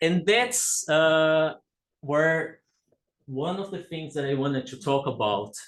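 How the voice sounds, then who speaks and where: A man talks at a very slow pace. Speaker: academic speaker, game researcher. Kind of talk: conference talk. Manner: hesitant, many fillers.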